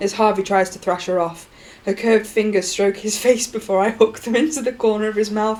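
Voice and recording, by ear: The intonation doesn't shift much. A natural voice reads the text aloud.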